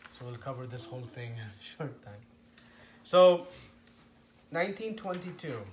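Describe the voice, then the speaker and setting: With audible room echo, a somewhat breathy man at a medium pitch and moderate pace swings very widely in pitch and loudness, pausing long and often. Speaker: spiritual teacher. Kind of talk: lecture.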